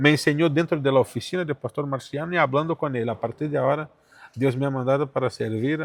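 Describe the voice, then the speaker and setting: A man with a Portuguese accent. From Brazil, São Paulo. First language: Portuguese (speaking Spanish). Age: 40s. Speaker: pastor. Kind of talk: testimony.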